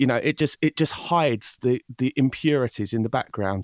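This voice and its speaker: Speaking fairly quickly with a southern English accent, a man uses ordinary pitch variation. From southern England. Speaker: true crime podcast host. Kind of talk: interview conversation. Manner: fast talker; hesitant, many fillers and restarts.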